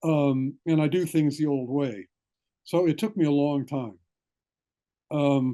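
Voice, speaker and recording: A man's dark, mellow voice at a fairly slow pace, with very even loudness, ordinary pitch variation and long, frequent pauses against a quiet background. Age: 70s. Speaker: retired classics professor and author. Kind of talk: Q&A after a talk. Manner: halting, many fillers and repeats.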